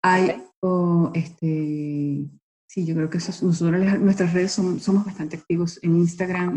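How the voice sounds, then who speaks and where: A woman's fairly low, somewhat breathy voice with a dark, mellow tone, at a fairly slow pace. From Venezuela. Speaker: marine biologist, novelist and nonprofit founder. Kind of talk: interview.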